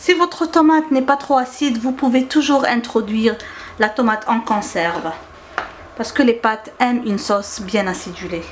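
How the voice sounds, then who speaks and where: Over noticeable background noise, a woman speaks at a moderate pace. Her high-pitched voice has lively intonation. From Algeria. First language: Arabic (speaking French). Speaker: cooking YouTuber. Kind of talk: cooking tutorial. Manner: hesitant with frequent fillers.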